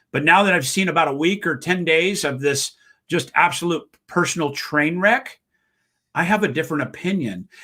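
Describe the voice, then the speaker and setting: In a very clean recording with a silent background, a man with a high voice speaks in a bright, sharp, animated tone with ordinary pitch variation. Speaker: real estate broker and sales trainer. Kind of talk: interview. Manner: fast.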